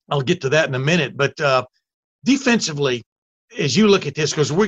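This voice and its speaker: A man's voice sits fairly high, moving very fast with ordinary pitch variation. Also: dry, close sound with no echo. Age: 60s. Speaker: college football podcast host. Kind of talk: casual chat.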